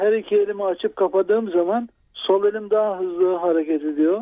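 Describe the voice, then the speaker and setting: Fairly even intonation and a moderate pace from a man with a high-pitched voice. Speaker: radio caller, Parkinson patient. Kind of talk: call-in question. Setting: phone call. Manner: halting speech.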